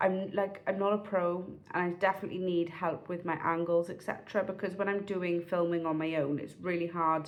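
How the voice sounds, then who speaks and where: Speaking at a fairly quick pace with hardly any pauses, a woman with a South Wales accent has a fairly low voice and monotone, flat intonation. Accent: South Wales Valleys English. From South Wales, Pontypridd (Rhondda Cynon Taf). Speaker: vlogger. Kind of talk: casual vlog monologue. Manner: chatty, halting with fillers and restarts.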